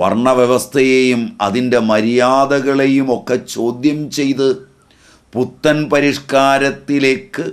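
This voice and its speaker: A man speaks with fairly even intonation, and the background is quiet. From Kerala, India. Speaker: spiritual teacher. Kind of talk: religious discourse.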